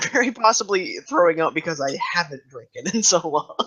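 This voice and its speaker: A man puts on a character voice pitched high. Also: moderate pace. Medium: actual play.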